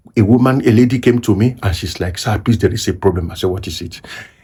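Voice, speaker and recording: A man's dark, mellow, somewhat breathy voice, fairly low in pitch, at a fairly quick pace. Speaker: pastor. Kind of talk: sermon talk to camera.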